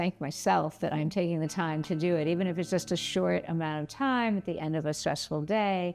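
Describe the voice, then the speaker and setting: With music in the background, a woman with a very deep, low voice talks at a fairly quick pace with hardly any pauses, very even loudness and ordinary pitch variation. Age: 60s. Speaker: orthopedic surgeon and movement teacher. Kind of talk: interview monologue.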